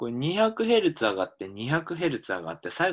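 Against a quiet background, a man speaks at a fairly high pitch with very wide swings. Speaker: linguistics professor. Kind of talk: lecture.

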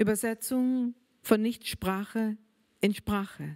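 Against a quiet background, a woman with a German accent speaks at a very slow pace. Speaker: writer. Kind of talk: reading aloud. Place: hall. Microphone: handheld.

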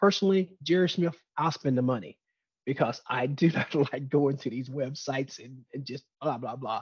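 Somewhat breathy, a man talks at a fairly quick pace. The sound is dry with no echo, and the background is quiet. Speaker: webinar presenter. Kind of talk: lecture. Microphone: webcam.

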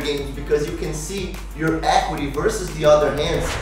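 A man's voice in audible room echo, with clear music in the background. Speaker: channel host. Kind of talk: tutorial. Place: home room.

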